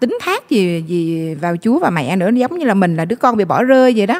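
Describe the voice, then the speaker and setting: Her intonation is lively. The woman speaks at a fairly slow pace. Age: 40s. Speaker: guest sharing faith story; guest. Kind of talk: testimony. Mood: emotional, regretful recollection. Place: studio. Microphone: handheld.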